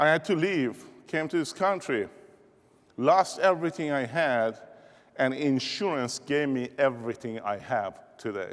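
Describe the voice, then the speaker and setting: With an Iranian accent, a man speaks at a fairly slow pace while his pitch swings very widely. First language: Persian. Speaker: keynote speaker, insurance business leader. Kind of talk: motivational keynote speech. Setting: stage with audience. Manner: animated.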